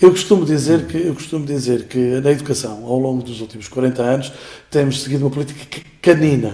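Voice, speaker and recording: This man speaks at a very fast pace, with ordinary pitch variation and big swings in loudness. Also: medium pitch for a man. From Portugal, Beira Alta. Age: 50s. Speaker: school director and teacher. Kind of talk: interview. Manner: hesitant, many fillers.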